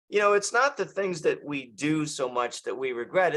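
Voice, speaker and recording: A high-pitched man's voice with a bright, sharp tone, lively intonation and a moderate pace. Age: 60s. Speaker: author, bodybuilder and coach. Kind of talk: interview conversation.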